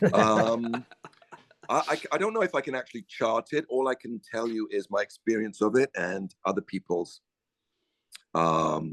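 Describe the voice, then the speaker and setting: Dry and close with no echo, a man's plain, everyday voice moves at a moderate pace and medium pitch with lively intonation. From Canada. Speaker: actor. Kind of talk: casual chat.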